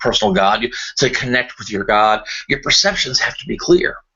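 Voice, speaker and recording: A man speaks over noticeable background noise. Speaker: podcast host. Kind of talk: casual monologue. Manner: fast; halting.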